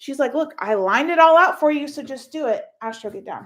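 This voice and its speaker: On a very clean recording with a silent background, a woman speaks at a moderate pace with an American accent. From Texas. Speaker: online income vlogger. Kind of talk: casual live stream. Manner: casual, filler-heavy.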